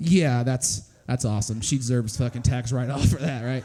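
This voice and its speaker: A man speaks over noticeable background noise. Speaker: stand-up comedian. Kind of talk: stand-up. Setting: stage with audience.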